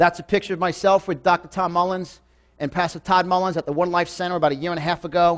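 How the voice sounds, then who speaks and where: An animated man with a high pitch and an American accent talks at a very fast pace over a quiet background. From New York. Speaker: motivational speaker. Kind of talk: motivational seminar talk. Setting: stage with live audience.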